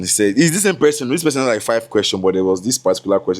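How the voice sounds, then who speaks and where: The man's delivery carries lively intonation. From Nigeria. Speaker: content creator and MC. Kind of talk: casual chat, get-to-know-me vlog. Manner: stammers when talking a lot; mumbling at times.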